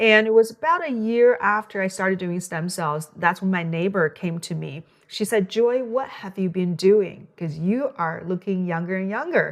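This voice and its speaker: A woman with a Chinese accent speaks at a moderate pace with ordinary pitch variation and hardly any pauses, over noticeable background noise. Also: medium pitch for a woman. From China. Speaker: physician. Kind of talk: interview. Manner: halting.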